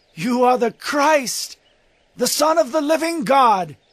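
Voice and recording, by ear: A man does a put-on character voice at an extremely high pitch, with a fairly bright tone. He speaks slowly with lively intonation.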